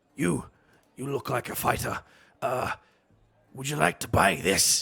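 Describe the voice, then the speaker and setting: A man's raspy, put-on character voice at medium pitch, with very wide pitch swings and a moderate pace. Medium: actual play. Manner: pushy, eager.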